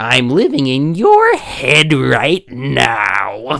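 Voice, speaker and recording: A raspy put-on character voice sits at a low-to-middle pitch. The pace is very slow. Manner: annoying, smug, con-man patter.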